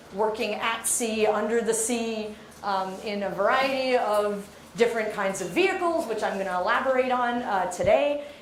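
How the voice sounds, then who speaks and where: A woman's fairly high voice, moderately paced, with ordinary pitch variation, audible room echo, and noticeable background noise. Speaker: marine geologist. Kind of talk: lecture. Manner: loud.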